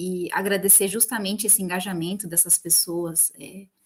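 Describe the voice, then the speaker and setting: Speaking in an unremarkable speaking voice, a woman keeps her intonation fairly even. She holds a medium pitch at a moderate pace. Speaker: biologist, field technician. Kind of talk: panel discussion.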